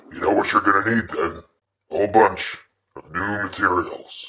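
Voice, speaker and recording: A man performs a put-on character voice at a fairly low pitch. He keeps a moderate pace. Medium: comedy sketch.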